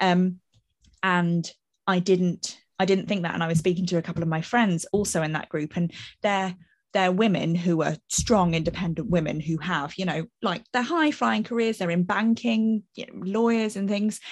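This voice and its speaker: An unremarkable speaking voice from a woman, medium in pitch with ordinary pitch variation and a moderate pace, over a quiet background. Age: 30s. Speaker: marketing manager. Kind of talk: casual chat. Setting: video call with live audience.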